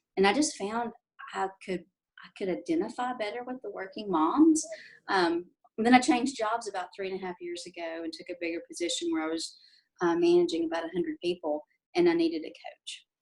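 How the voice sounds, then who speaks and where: Talking at a fairly quick pace in a Southern US accent, a woman of medium pitch uses very wide pitch swings and big swings in loudness. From Tennessee, Nashville. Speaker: life coach. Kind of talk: interview. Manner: hesitant, many fillers.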